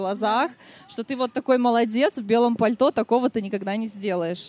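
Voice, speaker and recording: A woman with a plain, everyday voice speaks at a moderate pace, her fairly high pitch moving with ordinary variation in a dry, close sound with no echo. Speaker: podcast host and stylist. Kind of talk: live podcast recording before audience. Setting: outdoor stage at city picnic with audience.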